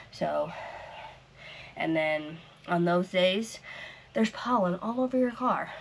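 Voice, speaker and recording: Over noticeable background noise, a woman of medium pitch talks at a fairly slow pace with lively intonation, very even loudness, and long, frequent pauses. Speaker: crochet vlogger. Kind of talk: casual vlog chat.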